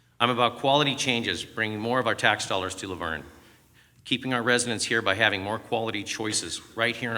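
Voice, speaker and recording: With a Southern California accent, a man speaks at a fairly quick pace in a medium pitch. His tone is bright and sharp, and his intonation fairly even. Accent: General American (Southern California). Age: 50s. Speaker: mayoral candidate. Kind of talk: prepared campaign statement. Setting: stage with audience. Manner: formal.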